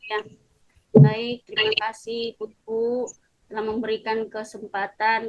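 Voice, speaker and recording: In a fairly high pitch, a woman speaks at a fairly slow pace with monotone, flat intonation. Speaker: preacher. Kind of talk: sermon. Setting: video call. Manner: soft-spoken. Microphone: too quiet, voice sounds faint.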